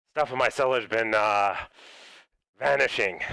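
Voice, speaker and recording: A man uses a raspy, put-on character voice with ordinary pitch variation. He goes at a moderate pace in a very clean recording with a silent background. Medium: actual play. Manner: hesitant, haggling.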